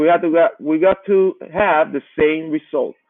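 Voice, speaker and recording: Speaking with a Spanish accent, a man uses a high voice with ordinary pitch variation. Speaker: math teacher. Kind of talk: lecture. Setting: live online class.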